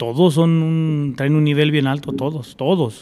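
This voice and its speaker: This man has an ordinary speaking voice, fairly high in pitch, with fairly even intonation at a moderate pace. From Zacatecas, Mexico (near Fresnillo); moved young to California. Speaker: charro and horseman. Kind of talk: casual chat. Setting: at a home.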